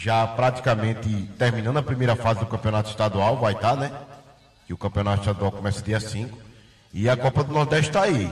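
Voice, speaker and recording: Somewhat breathy, a man with a medium pitch and ordinary pitch variation talks at a fairly quick pace. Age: 40s. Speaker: radio sports co-host. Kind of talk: casual radio chat. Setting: studio.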